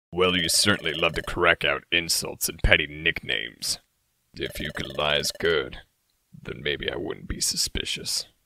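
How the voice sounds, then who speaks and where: The man's pitch is very deep and low. He speaks at a moderate pace. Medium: audio drama. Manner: cool, methodical, dry.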